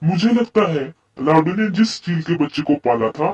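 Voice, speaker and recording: A man puts on a cartoonish character voice. It sits at a fairly high pitch. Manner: blunt, excitable.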